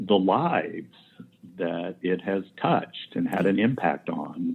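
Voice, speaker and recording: A man with an American accent and a fairly low pitch. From Indiana, US Midwest. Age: 60s. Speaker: quilt historian and collector. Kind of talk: interview conversation.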